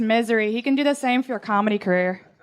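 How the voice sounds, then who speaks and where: A woman with ordinary pitch variation, heard over noticeable background noise. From Ireland. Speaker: comedian. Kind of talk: comedy roast.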